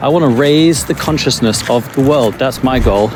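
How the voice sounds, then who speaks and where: Medium-pitched man speaking at a fairly quick pace, ordinary pitch variation, with audible room echo and noticeable background noise. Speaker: life coach vlogger. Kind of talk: walking vlog monologue. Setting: outdoors in forest. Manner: calm; soft-spoken.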